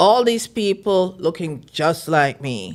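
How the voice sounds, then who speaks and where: Her intonation is lively as this woman speaks. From Jamaica. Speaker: film festival founder. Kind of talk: interview conversation.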